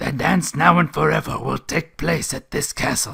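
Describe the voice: A raspy, put-on character voice at a moderate pace. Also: man, fairly high pitch for a man.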